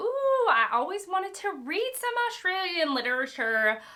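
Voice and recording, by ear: Putting on a cackling character voice, a woman speaks at a moderate pace in an extremely high pitch with very wide pitch swings. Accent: Southern US.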